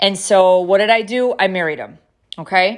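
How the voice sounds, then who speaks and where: A woman with a normal speaking voice talks at a medium pitch and a fairly slow pace in a very clean recording with a silent background. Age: 50s. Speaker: podcast host. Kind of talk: personal monologue.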